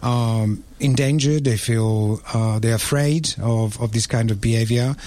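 A man with an Italian accent speaks at a medium pitch, his tone dark and mellow. His loudness stays very even and his intonation fairly even. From Italy, Rome. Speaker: restaurant owner. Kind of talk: radio panel discussion.

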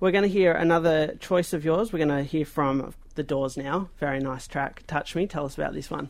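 Speaking with an Australian accent, a man moves at a fairly quick pace with hardly any pauses. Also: ordinary pitch variation. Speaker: community radio host. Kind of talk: radio interview.

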